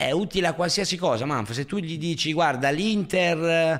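A man with a plain, everyday voice, at a moderate pace and with lively intonation. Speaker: podcast host. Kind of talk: heated argument. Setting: online livestream. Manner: loud, overlapping, teasing.

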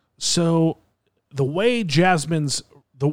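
An animated tone from a man. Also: very clean recording, silent background. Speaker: podcast host. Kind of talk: casual banter. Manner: animated, jokey.

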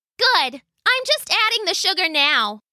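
A woman's put-on character voice, squeaky and extremely high, with very wide pitch swings at a moderate pace, in a dry, close sound with no echo. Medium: read story.

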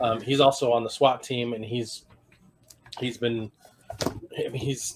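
Medium pitch from a man at a moderate pace, monotone and flat, over noticeable background noise. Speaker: podcast host. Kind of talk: casual conversation. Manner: casual, conversational.

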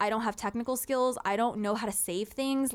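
On a very clean recording with a silent background, a woman with a Southern California accent talks at a fairly quick pace in an animated tone, at a fairly high pitch with ordinary pitch variation. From Moreno Valley, Southern California. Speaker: podcast host. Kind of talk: casual chat.

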